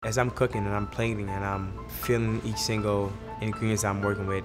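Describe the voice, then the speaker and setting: Music plays in the background. Over it, a man speaks at a fairly low pitch with fairly even intonation. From Senegal. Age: 20s. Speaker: chef. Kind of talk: interview answer.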